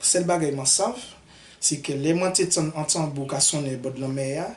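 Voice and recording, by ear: Speaking at a moderate pace, a man with a fairly high pitch uses ordinary pitch variation.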